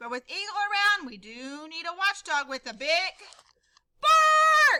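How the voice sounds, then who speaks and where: A woman puts on a squeaky character voice at an extremely high pitch, raised and projected. She talks at a fairly slow pace with very wide pitch swings. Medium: read story. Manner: urgent, commanding.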